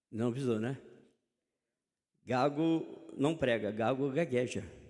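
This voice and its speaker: A man speaks at a very slow pace and a medium pitch with ordinary pitch variation. Audible room echo surrounds his voice. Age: 60s. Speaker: preacher. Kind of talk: sermon. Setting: church.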